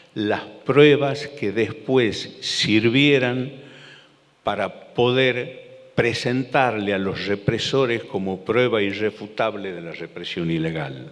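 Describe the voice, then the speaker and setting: The speech moves at a very slow pace with ordinary pitch variation, amid audible room echo and noticeable background noise. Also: man. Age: 60s. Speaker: lawyer and former federal judge. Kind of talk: public talk. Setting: theater stage with audience. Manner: halting, repeats words.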